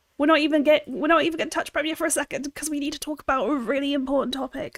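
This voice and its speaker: In a very clean recording with a silent background, a woman speaks with an American accent, the sound dry and close with no echo. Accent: British with slight American twang. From London, England. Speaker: video editor. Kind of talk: livestream tutorial. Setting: livestream. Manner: casual, chatty.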